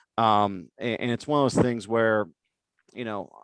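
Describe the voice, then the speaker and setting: At a fairly quick pace, a man speaks with a medium pitch. The background is quiet, and the sound is dry and close with no echo. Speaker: web design agency founder giving a talk. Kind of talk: webinar presentation with Q&A. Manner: fast.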